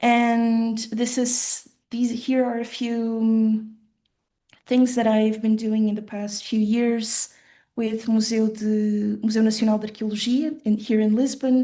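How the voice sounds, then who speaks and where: At a fairly slow pace, a woman with a fairly high pitch and a dark, mellow tone speaks in a somewhat breathy, monotone, flat way. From western rural Portugal, Portuguese-German family. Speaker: designer giving keynote talk. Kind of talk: conference presentation. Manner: halting, many fillers.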